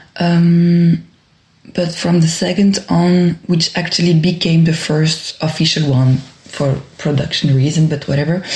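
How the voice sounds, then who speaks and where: Fairly slow, fairly even speech in a French accent, against noticeable background noise. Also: woman, fairly low pitch for a woman. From Brussels, Belgium. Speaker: dancer and choreographer. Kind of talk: interview. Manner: hesitant, many fillers.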